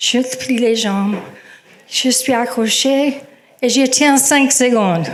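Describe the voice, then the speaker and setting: A woman's very slow, high-pitched speech with long, frequent pauses and very even loudness, plus audible room echo and noticeable background noise. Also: ordinary pitch variation. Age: 70s. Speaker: storyteller. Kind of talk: personal story told to audience. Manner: hesitant, with many fillers.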